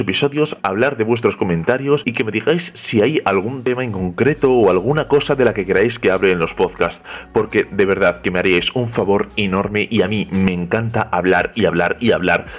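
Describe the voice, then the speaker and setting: There is noticeable background noise behind the man. He talks at a moderate pace with hardly any pauses. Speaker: podcast host. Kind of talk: podcast intro monologue. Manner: talkative, nonstop.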